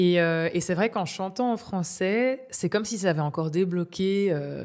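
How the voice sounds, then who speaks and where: A woman with a normal speaking voice talks at a moderate pace. Her pitch sits in the medium range with ordinary variation. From Belgium, Namur area. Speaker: singer-songwriter. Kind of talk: interview.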